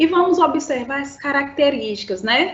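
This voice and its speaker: With very wide pitch swings, a woman speaks at a fairly slow pace amid audible room echo. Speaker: school teacher. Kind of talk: lecture. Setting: live-streamed online class.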